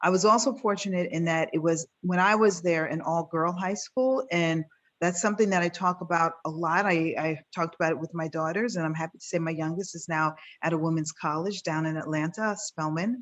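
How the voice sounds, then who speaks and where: Here is a woman with an unremarkable speaking voice and fairly low pitch. She moves at a fairly quick pace with ordinary pitch variation. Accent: American. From New York City (Queens). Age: 50s. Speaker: physician and business founder. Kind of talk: panel interview.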